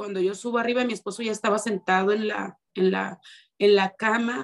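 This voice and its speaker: The clip has a normal speaking voice. Its pace is moderate. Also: woman. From Mexico, Ciudad Obregón, Sonora. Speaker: minister's wife, church member. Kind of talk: testimony.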